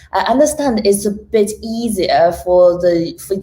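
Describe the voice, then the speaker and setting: A woman is speaking. She talks in a Chinese accent. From China. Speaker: technology risk professional. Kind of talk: interview.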